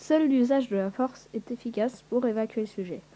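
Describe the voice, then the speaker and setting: Her tone is dark and mellow, and her pitch is fairly high for a woman. This woman speaks at a fairly slow pace. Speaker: youtuber. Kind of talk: reading aloud. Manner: halting.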